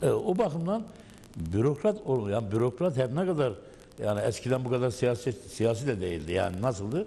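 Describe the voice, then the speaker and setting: Somewhat breathy and dark, mellow in tone, a man speaks at a moderate pace with medium pitch and very wide pitch swings. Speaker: former municipal council member. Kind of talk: panel discussion. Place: studio. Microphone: lapel.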